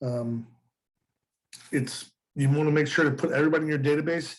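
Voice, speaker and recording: With a fairly high pitch and a flat, monotone delivery, a man rattles along at a very fast pace. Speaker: real estate instructor. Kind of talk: lecture. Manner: halting.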